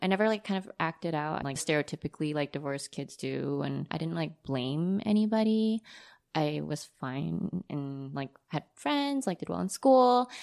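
Dry, close sound with no echo, carrying lively intonation. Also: woman, very deep, low pitch for a woman, moderate pace. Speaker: artist who designed the podcast logo. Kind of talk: casual chat. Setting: video call. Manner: light and upbeat.

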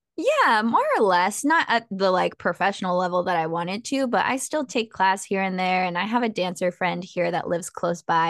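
A woman with a Californian accent, at a medium pitch and moderate pace, against a quiet background in a dry, close sound with no echo. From Southern California. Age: 20s. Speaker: self-help author and coach. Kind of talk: casual interview.

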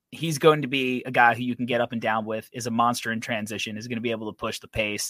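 A man with a plain, everyday voice and medium pitch speaks at a fairly quick pace with ordinary pitch variation, in a dry, close sound with no echo. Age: 30s. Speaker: basketball draft podcast host. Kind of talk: casual chat.

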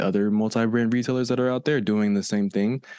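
In a very clean recording with a silent background, a man with fairly low pitch and fairly even intonation has an unremarkable speaking voice. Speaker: content creator. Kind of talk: casual interview chat.

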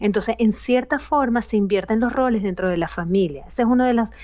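The speaker has a Venezuelan accent and ordinary pitch variation. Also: woman. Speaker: psychologist. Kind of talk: interview.

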